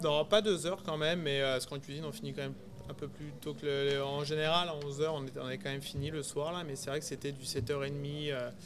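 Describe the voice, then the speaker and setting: The speech has fairly even intonation, with audible room echo and noticeable background noise. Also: man, fairly high pitch for a man, moderate pace. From Burgundy, France (rural Yonne). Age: 30s. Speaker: executive chef. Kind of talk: interview conversation. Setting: restaurant, in person. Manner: hesitant, many fillers.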